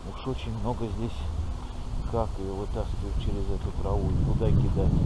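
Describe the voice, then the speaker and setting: Against noticeable background noise, a man speaks at a moderate pace in a dry recording with no echo. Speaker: fishing vlogger. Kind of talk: casual vlog chat. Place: waterside. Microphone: phone near.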